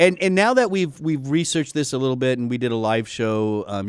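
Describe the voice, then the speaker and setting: A man with an American accent talks at a fairly quick pace. His pitch sits in the medium range but swings very widely. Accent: Texan, usually hidden. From Texas. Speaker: health educator, doctor. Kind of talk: casual chat. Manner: halting, stammering.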